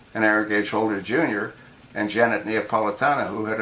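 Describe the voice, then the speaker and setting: A man talks with an American accent at a fairly low pitch. There is noticeable background noise. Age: 70s. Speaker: political video blogger. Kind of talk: political commentary monologue. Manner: animated.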